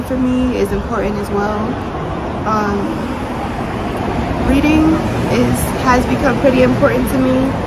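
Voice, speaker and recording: Over loud background noise, a woman with an American accent talks at a fairly slow pace. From New York City. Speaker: entrepreneur and YouTuber. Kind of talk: casual talk to camera. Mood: reflective, sincere. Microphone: phone near.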